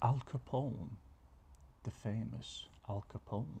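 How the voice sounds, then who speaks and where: Soft-spoken, a man talks in a relaxed tone. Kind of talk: ASMR soft-spoken reading of random facts. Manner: soft-spoken, relaxed.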